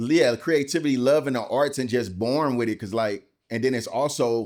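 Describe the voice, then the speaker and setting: With a St. Louis accent, a man talks at a moderate pace and medium pitch with ordinary pitch variation on a very clean recording with a silent background. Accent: St. Louis, Midwestern US. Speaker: voice-over artist, photographer, videographer. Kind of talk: interview answer. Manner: casual.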